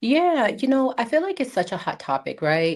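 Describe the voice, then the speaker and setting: A woman speaks with an American accent and lively intonation. Her pace is moderate, on a very clean recording with a silent background. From US Midwest, Chicago. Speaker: pharmacist, diabetes care specialist. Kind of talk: interview.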